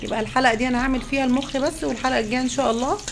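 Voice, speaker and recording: A woman's high-pitched voice at a very fast pace, with ordinary pitch variation, noticeable background noise and audible room echo. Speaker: cooking show host. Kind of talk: cooking tutorial. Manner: casual, chatty.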